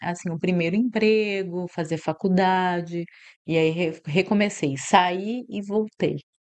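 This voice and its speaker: With a slight Mato Grosso do Sul accent, a woman speaks at medium pitch with ordinary pitch variation against a quiet background. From Mato Grosso do Sul, Brazil (Ponta Porã, Paraguay border). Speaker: university director. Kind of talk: podcast interview. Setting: studio.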